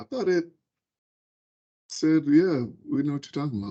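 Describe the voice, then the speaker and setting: A man talks with lively intonation. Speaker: software developer leading a coding session. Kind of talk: casual coding session chat. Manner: fast.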